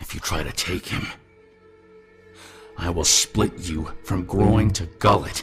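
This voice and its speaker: Putting on a character voice, a man growls at a very deep, low pitch and a fairly slow pace while faint music plays in the background. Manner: menacing.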